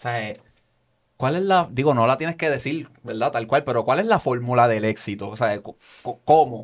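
On a very clean recording with a silent background, a man speaks at a moderate pace with lively intonation. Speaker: podcast host. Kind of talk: casual interview.

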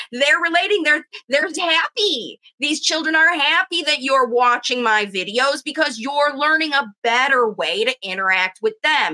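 A woman's raised, projected voice, high-pitched and bright, sharp in tone, lively in intonation, fairly slow, at very even loudness, dry and close with no echo. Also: hardly any pauses. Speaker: speech pathologist and parent coach. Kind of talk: educational monologue to parents, video.

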